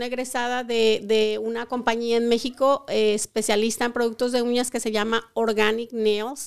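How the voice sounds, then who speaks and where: A woman's monotone, flat delivery in a very clean recording with a silent background. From Colima, western Mexico. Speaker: beauty school owner. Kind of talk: interview.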